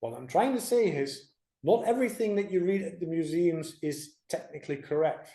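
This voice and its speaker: A man with a high pitch and a dark, mellow tone speaks at a moderate pace with lively intonation. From Netherlands. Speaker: creation speaker. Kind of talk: church presentation.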